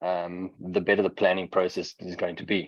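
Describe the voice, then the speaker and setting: At a moderate pace, a man speaks with a South African accent in a fairly low pitch. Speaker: software vendor presenter. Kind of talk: product webinar presentation. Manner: frequent filler words (um, uh).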